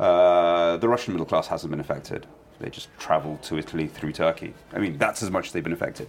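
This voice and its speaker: A man with a London accent, very deep and low in pitch, very fast pace, ordinary pitch variation, and noticeable background noise. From London, England. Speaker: journalist and author. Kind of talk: interview.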